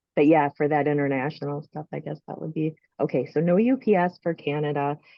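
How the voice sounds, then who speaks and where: With an American accent, a woman speaks at a very deep, low pitch and a fairly quick pace. Her pitch variation is ordinary, while her loudness swings widely. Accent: strong regional accent, presumably Minnesotan. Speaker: author selling books direct. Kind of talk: casual chat. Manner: halting.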